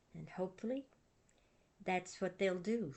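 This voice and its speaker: A woman speaks in a gentle, calm tone. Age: 80s+. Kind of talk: casual talk to camera.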